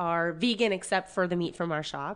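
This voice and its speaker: With a normal speaking voice, a woman talks at a fairly low pitch and a moderate pace, with ordinary pitch variation over a quiet background. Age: 30s. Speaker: butcher. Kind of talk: casual chat.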